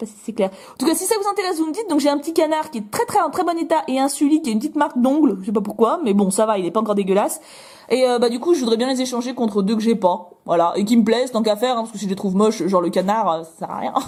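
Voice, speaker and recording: A woman talks loudly and very fast in an animated tone, her fairly high pitch making very wide swings. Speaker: YouTuber. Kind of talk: toy unboxing vlog. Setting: at home, window open.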